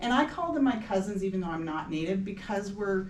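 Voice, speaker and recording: A woman's West Coast US accent with very wide pitch swings, amid audible room echo and noticeable background noise. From US Pacific Northwest, Seattle area. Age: 60s. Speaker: local historical society president. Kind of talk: recorded public talk.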